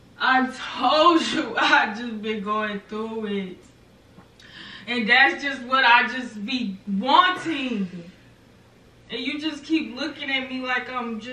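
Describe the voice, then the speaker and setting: Very slowly, a woman speaks with a high pitch, leaving long, frequent pauses. Her loudness swings widely, and audible room echo fills the space. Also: ordinary pitch variation. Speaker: prank video creator. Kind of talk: staged argument. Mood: defensive, pleading. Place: home room. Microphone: camera far.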